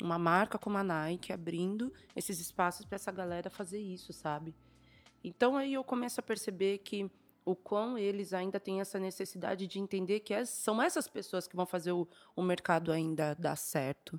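Music plays in the background as a woman speaks. Her pitch varies in an ordinary way. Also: medium pitch for a woman, moderate pace. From São Paulo, East Zone periphery. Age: 30s. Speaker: stylist and creative director. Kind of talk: casual chat.

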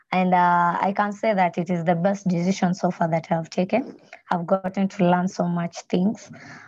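A woman speaks with a Kenyan accent. Her voice is somewhat breathy. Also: medium pitch for a woman, moderate pace. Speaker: student and entrepreneur. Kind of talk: slide presentation. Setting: video call. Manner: excited, nervous, animated.

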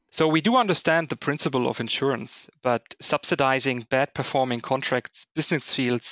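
A man speaks with a German accent. His pitch is medium and his intonation fairly even. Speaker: corporate risk finance director. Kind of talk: interview.

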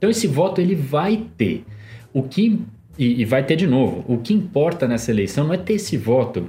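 A man at a fairly high pitch, swinging very widely in pitch, at a moderate pace with very even loudness, music in the background. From Brazil, São Paulo (Zona Norte). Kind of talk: casual chat.

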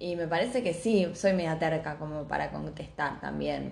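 With a Rioplatense accent, a woman talks at a fairly slow pace in a fairly low pitch, with vocal fry and audible room echo. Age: 20s. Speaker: podcast co-host. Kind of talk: casual chat.

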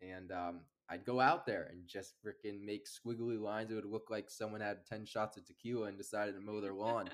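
A man's normal speaking voice in an American accent, fairly low in pitch, fairly even in intonation and fairly quick in pace. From US Northeast (Amherst, Massachusetts). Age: 20s. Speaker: landscaping business owner. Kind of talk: casual chat.

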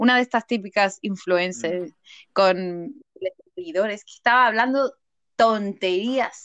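Her pitch is fairly high and varies in an ordinary way, at a fairly slow pace, in a plain, everyday voice. The woman's recording sounds dry and close, with no echo. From Seville, southern Spain. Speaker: podcaster and mother. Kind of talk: casual interview chat.

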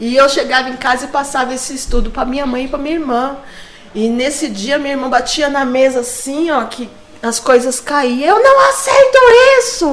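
Over noticeable background noise and audible room echo, a woman with a high pitch talks at a moderate pace with fairly even intonation. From São Paulo, Brazil. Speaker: church member sharing testimony. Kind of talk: testimony.

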